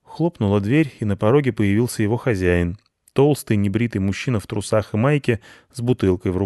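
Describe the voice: The clip is plain reading aloud with a quiet background.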